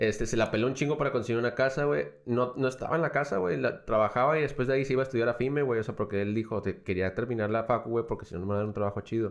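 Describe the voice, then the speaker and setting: Speaking at a very fast pace, a man leaves hardly any pauses. His medium pitch moves with ordinary variation. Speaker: podcast co-host. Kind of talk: casual chat.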